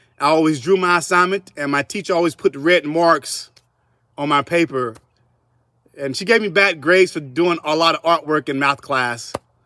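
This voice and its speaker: A man with a Southern US accent speaks at a moderate pace and a fairly high pitch, with ordinary pitch variation and a bright, sharp tone. The sound is dry and close with no echo, on a very clean recording with a silent background. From US South, South Carolina (Columbia). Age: 40s. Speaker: artist. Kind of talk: interview.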